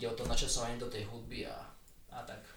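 Speaking at a fairly quick pace, a man keeps his intonation fairly even. Room echo can be heard. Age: 20s. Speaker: handbalancing coach. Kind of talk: interview.

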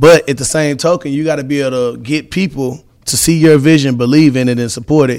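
A man's plain, everyday voice, fairly high in pitch, with fairly even intonation, a fairly quick pace and hardly any pauses. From Texas, Beaumont (Southeast Texas). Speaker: city councilman and business owner. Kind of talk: interview.

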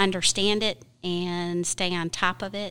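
Her tone is bright and sharp, with an American accent. The woman's voice has a medium pitch. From Michigan. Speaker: utility billing specialist. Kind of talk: casual interview.

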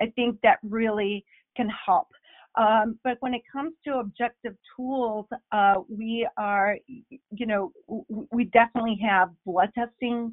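Her pitch is fairly high and her intonation fairly even. The woman speaks at a fairly slow pace. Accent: Spanish. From Bolivia. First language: Spanish. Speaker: allergist, physician. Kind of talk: interview.

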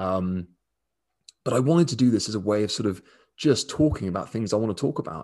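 Here a man speaks with a southern English accent. His pitch is fairly low. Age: 20s. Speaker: dog daycare owner and podcast host. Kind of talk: casual solo monologue. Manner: relaxed, hesitant with fillers.

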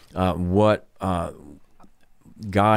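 In a South Carolina accent, a man talks with a very deep, low pitch. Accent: South Carolina Southern US. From US South, Columbia, South Carolina. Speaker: pastor. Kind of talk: casual chat.

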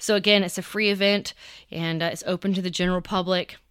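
Speaking with a Southern US accent, a woman holds a medium pitch and fairly even intonation. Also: dry, close sound with no echo, very clean recording, silent background. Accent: US South. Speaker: podcast host. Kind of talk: casual monologue update. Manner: halting with many fillers.

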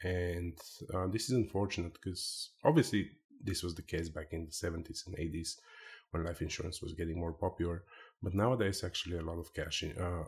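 Very clean and silent in the background, this recording has a man speaking with a Bulgarian accent. His voice is very deep, low-pitched and somewhat breathy. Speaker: life insurance agent. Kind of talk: interview.

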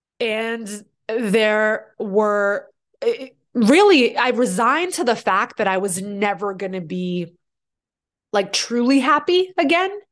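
Speaking very slowly with an American accent, a woman uses a fairly high pitch and very wide pitch swings against a quiet background. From Boston, US. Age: 30s. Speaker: fitness instructor and podcast host. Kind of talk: solo podcast monologue. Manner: casual, laughing.

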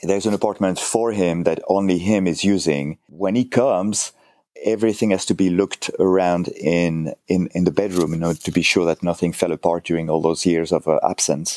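A man with a French accent and a very deep, low pitch keeps his loudness very even and his intonation fairly even. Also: moderate pace. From south of France. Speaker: furniture restorer and author. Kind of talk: casual interview chat. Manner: hesitant, halting with fillers.

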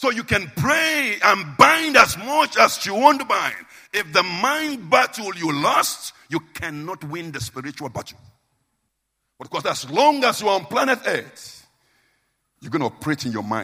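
With a Nigerian accent, a man raises and projects a high, bright, sharp voice, his pitch swinging very widely and his loudness shifting in big swings. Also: moderate pace. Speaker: preacher. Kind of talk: sermon. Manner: informal, simple, plain-spoken.

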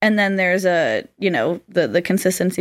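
A woman at medium pitch, fairly quick in pace, with vocal fry. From Florida. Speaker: business coach. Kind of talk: casual chat.

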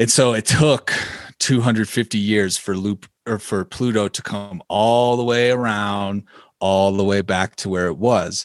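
Over a quiet background with a dry, close sound and no echo, a man with a plain, everyday voice speaks at a fairly slow pace, fairly low in pitch, with fairly even intonation. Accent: American. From Illinois. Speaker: podcast host and musician. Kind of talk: casual chat.

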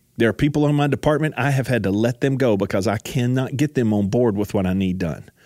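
On a very clean recording with a silent background, a man with a dark, mellow tone talks at a fairly quick pace, at a medium pitch with ordinary pitch variation. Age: 40s. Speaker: podcast host and ministry staff member. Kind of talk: solo motivational talk on ministry leadership. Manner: conversational, repetitive with verbal restarts.

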